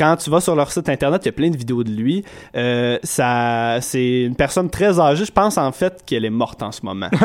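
Against a silent background in a very clean recording, the speech goes at a fairly quick pace. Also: man, medium pitch for a man. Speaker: podcast host. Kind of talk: casual chat.

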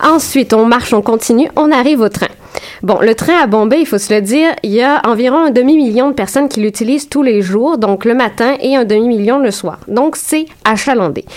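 A woman with a Quebec accent speaks in a high voice at a very even loudness, with noticeable background noise. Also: ordinary pitch variation, moderate pace. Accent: Québécois French. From Quebec, Saint-Jérôme. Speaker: graduate student researcher. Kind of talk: radio interview.

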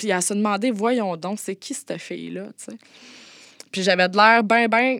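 Medium in pitch, a woman speaks with ordinary pitch variation. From Quebec, Montérégie. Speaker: former escort. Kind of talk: personal testimony. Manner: halting, many hesitations.

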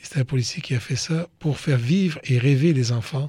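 Somewhat breathy, this man's voice moves with ordinary pitch variation. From Côte d'Ivoire, of Lebanese parents. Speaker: police chief. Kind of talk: interview for children.

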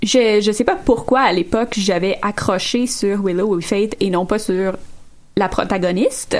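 At a very slow pace, a woman speaks with very even loudness, medium pitch and ordinary pitch variation. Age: 20s. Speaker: podcast panelist. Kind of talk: casual chat.

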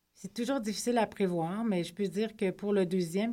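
A woman with a dark, mellow tone speaks at a medium pitch with fairly even intonation. The recording is very clean and the background silent. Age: 40s. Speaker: novelist. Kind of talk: radio interview. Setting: studio.

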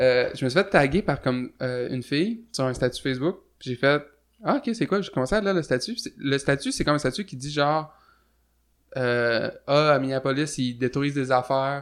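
He has an ordinary speaking voice, fairly high for a man. The man keeps a moderate pace with ordinary pitch variation. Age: 20s. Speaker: musician. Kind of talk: casual chat.

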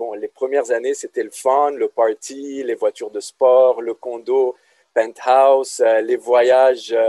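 A man talks at a very slow pace. There is no echo, and the sound is dry and close. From Lebanon. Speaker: business lecturer. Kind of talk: casual interview.

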